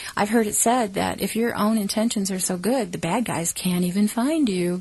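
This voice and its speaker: Medium pitch and ordinary pitch variation in a woman's speech. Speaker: ET contact experiencer. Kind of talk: casual talk to camera.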